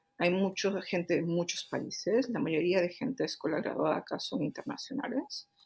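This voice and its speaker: A woman talks at a moderate pace with hardly any pauses. Her medium-pitched voice has lively intonation. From Peru, Cusco. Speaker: engineering director and researcher. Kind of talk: interview. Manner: hesitant fillers.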